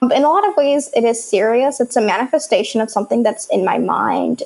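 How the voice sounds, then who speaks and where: A woman with an American accent speaks at a high pitch. Noticeable background noise can be heard. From moved to the US at age seven from an Arabic-speaking country. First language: Arabic. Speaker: startup founder and software developer. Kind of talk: podcast interview.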